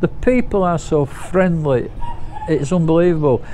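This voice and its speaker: There is noticeable background noise behind this man. He has a high pitch and speaks at a moderate pace. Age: 60s. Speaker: vlogger. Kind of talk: casual vlog monologue.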